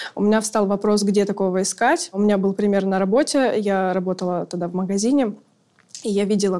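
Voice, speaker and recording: A woman speaks at a medium pitch with a dark, mellow tone. Her pitch varies in an ordinary way. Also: very clean recording, silent background. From very small town in Russia. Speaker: sex worker. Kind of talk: interview, personal stories.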